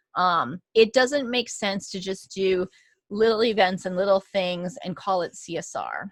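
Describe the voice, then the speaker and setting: A woman's normal speaking voice, medium in pitch with ordinary pitch variation, at a fairly slow pace with big swings in loudness, in a dry, close sound with no echo. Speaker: podcast host, consultant. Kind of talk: solo educational talk. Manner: many filler ums.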